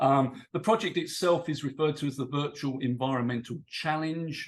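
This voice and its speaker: Ordinary pitch variation from a man in a British accent. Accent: British accent noted by speaker. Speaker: English teacher and PhD student. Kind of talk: conference presentation. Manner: hesitant, many fillers.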